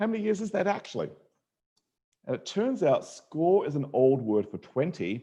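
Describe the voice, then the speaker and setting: In an Australian accent, a man with a high pitch and a dark, mellow tone speaks at a moderate pace, using very wide pitch swings and long, frequent pauses. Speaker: mathematician and educator. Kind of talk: online lecture to students. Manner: animated.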